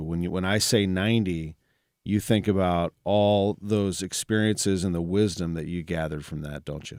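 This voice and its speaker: With a Midwestern American accent, a man speaks at a moderate pace in a very deep, low pitch and fairly even intonation, captured on a very clean recording with a silent background. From St. Louis, Missouri. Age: 40s. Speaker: interviewer. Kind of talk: life story interview.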